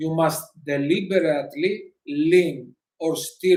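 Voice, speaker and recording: Speaking at a very slow pace, a man with a non-native accent has a high pitch. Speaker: motorcycle vlogger. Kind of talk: live stream talk. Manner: halting.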